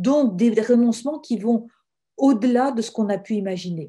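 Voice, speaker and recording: A woman speaks at a fairly high pitch with lively intonation. Her tone is dark and mellow, and her pace fairly slow. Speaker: religious sister and author. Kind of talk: webinar talk. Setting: online webinar.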